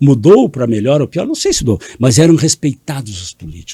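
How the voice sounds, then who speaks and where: A man speaks in a dark, mellow, somewhat breathy voice. His pitch swings very widely, and the sound is dry and close, with no echo. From Brazil, Rio Grande do Sul. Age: 70s. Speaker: politician, mayor. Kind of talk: interview.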